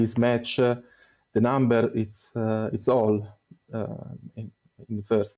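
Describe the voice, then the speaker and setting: Speaking very slowly with a non-native accent, a man uses a medium-pitched voice with a dark, mellow tone. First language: not English. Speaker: esports team player. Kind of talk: post-match interview. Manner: halting.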